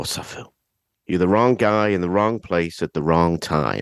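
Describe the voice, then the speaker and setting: With an English accent, a man speaks at a fairly slow pace in a very deep, low pitch. The sound is dry and close, with no echo. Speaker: podcaster guest. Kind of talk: film discussion.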